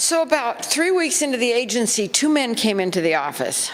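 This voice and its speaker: A woman speaks at a fairly high pitch. Her voice swings very widely in pitch. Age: 70s. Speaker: former showgirl, seminar speaker. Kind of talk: seminar talk with anecdotes. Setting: convention seminar with audience.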